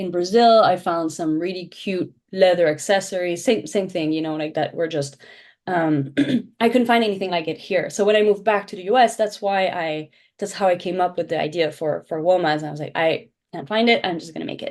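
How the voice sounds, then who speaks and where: A woman with a French accent, fairly low in pitch and fairly quick in pace, with ordinary pitch variation, big swings in loudness, and a quiet background. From Belgium. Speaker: shoe brand founder. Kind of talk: interview.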